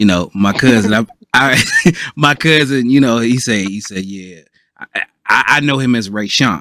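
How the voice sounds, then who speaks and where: A fairly slow pace with ordinary pitch variation. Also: man. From Ohio, US Midwest. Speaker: podcast panelist. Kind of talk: casual chat. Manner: halting, many fillers.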